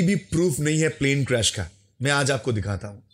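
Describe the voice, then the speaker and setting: A man with a Bengali accent speaks in a fairly high pitch with very wide pitch swings. His voice is somewhat breathy, and the recording is very clean with a silent background. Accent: Bengali accent in Hindi. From West Bengal, India. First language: Bengali (speaking Hindi). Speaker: YouTuber, history commentator. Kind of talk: commentary video, rebuttal.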